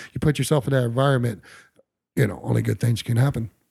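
Talking at a very fast pace, a man uses a medium pitch with an American accent. His tone is dark and mellow, and his voice is somewhat breathy. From Ohio, Dayton area. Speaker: rock drummer. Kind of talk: casual interview. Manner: animated.

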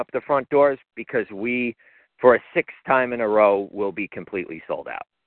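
At a moderate pace with ordinary pitch variation, this is a plain, everyday voice. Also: man. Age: 40s. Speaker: MMA promoter. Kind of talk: casual chat. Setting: phone call.

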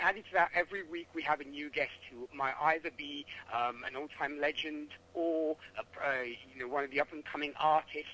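A man speaks at a fairly high pitch and a fairly quick pace. Noticeable background noise is present. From Italy. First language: Italian. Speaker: country radio host. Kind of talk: phone interview.

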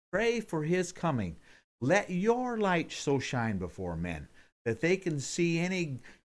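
A man with a high voice speaks fairly slowly, his pitch swinging very widely, on a very clean recording with a silent background. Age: 60s. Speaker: pastor. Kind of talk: Bible teaching podcast. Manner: casual, folksy, with fillers; animated.

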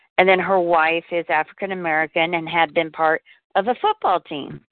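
A woman with a fairly low voice talks at a fairly slow pace. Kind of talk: casual group chat. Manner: animated.

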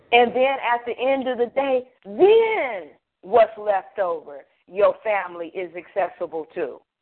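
In a normal speaking voice, a woman at a fairly high pitch talks at a fairly slow pace with lively intonation. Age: 50s. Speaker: financial consultant. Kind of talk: radio interview.

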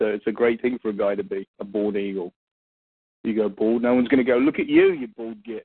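In an English accent, the speech races at a very fast pace with ordinary pitch variation. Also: man. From England. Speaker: podcast host. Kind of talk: casual podcast chat.

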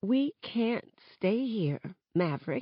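A female-sounding voice at medium pitch puts on a character voice. It comes out shaky.

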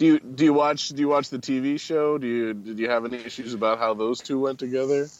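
A man with an American accent speaks at a very fast pace, with hardly any pauses. His pitch is medium and his intonation fairly even. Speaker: podcast guest. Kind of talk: casual chat.

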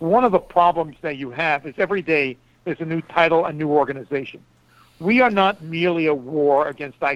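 Here is a man with a normal speaking voice and a fairly high pitch. He talks at a fairly quick pace with ordinary pitch variation. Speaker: foreign policy analyst and author. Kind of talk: radio interview. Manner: formal.

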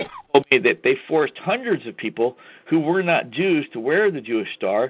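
The man's fairly high voice moves through very wide pitch swings. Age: 50s. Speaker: pro se legal researcher and show host. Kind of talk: call-in radio monologue. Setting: live online talk show. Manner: hesitant with many fillers.

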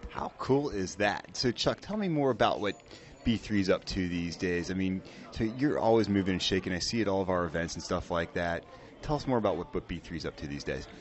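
With music in the background, a man talks at a fairly quick pace with lively intonation. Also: fairly low pitch for a man. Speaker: radio host. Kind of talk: casual interview. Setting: restaurant, on location. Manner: animated.

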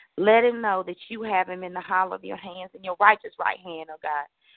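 This woman uses a normal speaking voice pitched in the middle range. She keeps a moderate tempo, and her intonation stays fairly even. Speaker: prayer participant. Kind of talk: intercessory prayer. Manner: fervent, frequent oh God interjections.

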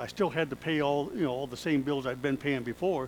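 Fairly high in pitch, a man uses a normal speaking voice with ordinary pitch variation. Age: 60s. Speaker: pastor. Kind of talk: sermon. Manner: conversational, with laughter.

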